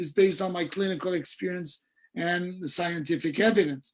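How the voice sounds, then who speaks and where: In a Portuguese accent, a man talks at a fairly quick pace with a high pitch and ordinary pitch variation. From Brazil. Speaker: dentistry professor. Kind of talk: lecture.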